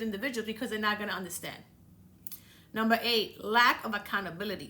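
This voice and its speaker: This woman speaks in a Dominican accent, her voice fairly high-pitched with a bright, sharp tone. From Dominican Republic. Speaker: podcast host. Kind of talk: motivational talk. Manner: casual, conversational.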